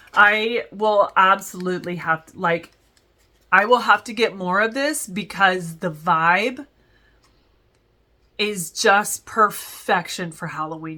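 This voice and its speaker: Bright and sharp in tone, the voice moves at a fairly slow pace with ordinary pitch variation on a very clean recording with a silent background. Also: woman. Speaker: wax melt reviewer. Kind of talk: casual product review. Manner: halting, many fillers.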